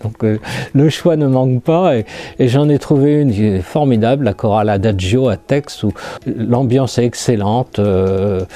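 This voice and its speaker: At a fairly slow pace, a man speaks at a medium pitch with ordinary pitch variation and very even loudness. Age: 60s. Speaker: lymphoma survivor, retiree. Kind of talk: testimony. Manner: halting.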